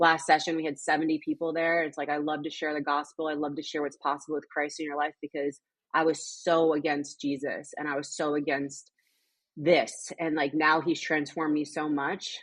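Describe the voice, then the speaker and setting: In an American accent, a woman speaks at a moderate pace with a very deep, low pitch. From Connecticut, US Northeast. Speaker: mental health coach and personal trainer. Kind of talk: testimony. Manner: animated.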